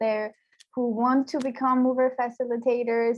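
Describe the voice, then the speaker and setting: At a moderate pace, a woman with an Iranian accent speaks in a high pitch. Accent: Iranian (Persian) English. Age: 20s. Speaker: youth programme mentor. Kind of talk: interview.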